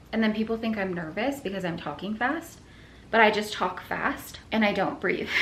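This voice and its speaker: Lively intonation carries the speech at a moderate pace. Noticeable background noise and audible room echo fill the recording. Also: woman, fairly high pitch for a woman. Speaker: fitness and lifestyle vlogger. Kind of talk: casual vlog talk to camera. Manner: animated.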